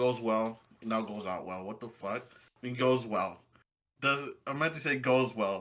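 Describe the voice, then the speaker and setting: A man with a medium pitch talks in an animated tone at a fairly slow pace, showing ordinary pitch variation. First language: Spanish. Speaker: podcast co-host. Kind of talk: casual chat.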